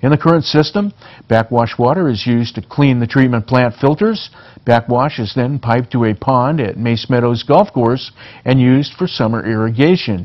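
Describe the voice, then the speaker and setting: A man with an American accent speaks at a medium pitch and a moderate pace. He has an ordinary speaking voice, with ordinary pitch variation. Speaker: local TV news anchor. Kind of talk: local TV newscast reading headlines and stories.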